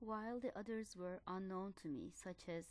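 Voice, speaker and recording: Someone with a Turkish accent speaks at a fairly slow pace. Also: woman. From Turkey, Ankara. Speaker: doctoral student. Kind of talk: scripted narration.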